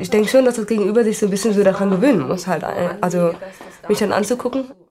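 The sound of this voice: A woman speaks at a fast pace. Her tone is slightly mellow.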